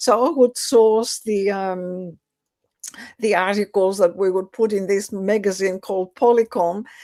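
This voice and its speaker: In a Greek accent, a woman with a dark, mellow tone and medium pitch speaks at a fairly slow pace with fairly even intonation. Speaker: educator. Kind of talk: interview. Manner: halting.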